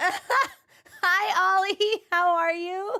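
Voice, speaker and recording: Her voice is raised and projected, with a bright, sharp tone. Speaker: streamer. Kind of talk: casual chat.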